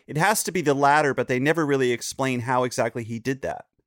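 With an American accent and a fairly high pitch, a man speaks in a dry, close sound with no echo. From North Carolina, Chapel Hill. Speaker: podcast guest, comedian and podcaster. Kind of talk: casual chat. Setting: video call.

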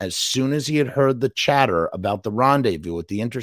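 Someone is reading aloud in a natural voice, and the intonation rises and falls in a lively way.

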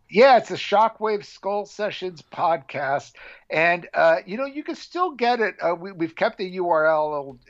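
A man at a fairly slow pace, with a Californian accent, against a quiet background. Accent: Californian American. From Southern California, Orange County. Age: 50s. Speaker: metal documentary filmmaker and podcast host. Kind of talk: casual interview chat.

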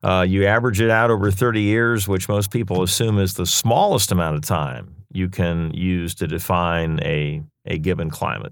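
This man has a very deep, low pitch, ordinary pitch variation and an American accent. He keeps a moderate pace with hardly any pauses. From Pennsylvania, Lancaster. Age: 60s. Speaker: TV meteorologist. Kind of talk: interview. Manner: halting, many fillers.

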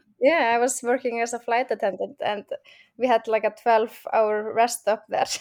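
A woman with a strong Icelandic accent, fairly high in pitch with fairly even intonation, at a moderate pace, in a very clean recording with a silent background and a dry, close sound with no echo. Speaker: crime novelist. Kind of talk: interview. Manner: laughs often.

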